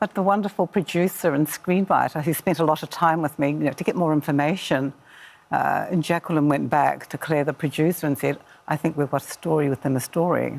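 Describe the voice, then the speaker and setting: A woman with a New Zealand accent, a very deep, low pitch, vocal fry and very even loudness. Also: ordinary pitch variation, fairly quick pace. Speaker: author. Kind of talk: casual chat.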